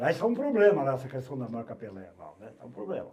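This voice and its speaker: The voice has a dark, mellow tone and a somewhat breathy quality, moving at a fairly quick pace with very wide pitch swings. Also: man. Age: 70s. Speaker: veteran sports journalist. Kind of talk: casual chat.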